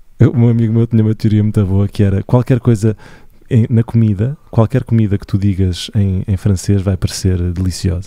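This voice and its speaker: A man speaks at a moderate pace in a fairly low pitch with fairly even intonation and a dark, mellow tone, the sound dry and close with no echo on a very clean recording with a silent background. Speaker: musician and podcast co-host. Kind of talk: casual chat. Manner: soft and calm.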